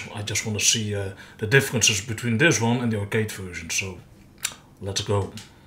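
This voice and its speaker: A man with a Dutch accent, fairly low in pitch, at a fairly quick pace with fairly even intonation. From Netherlands. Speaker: gamer commentator. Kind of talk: gameplay commentary. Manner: casual.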